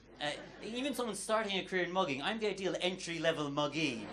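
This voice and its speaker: Speaking very fast with very wide pitch swings, a high-pitched man with an Irish accent is heard through audible room echo and noticeable background noise. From Ireland. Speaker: stand-up comedian. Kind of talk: stand-up. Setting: stage with audience.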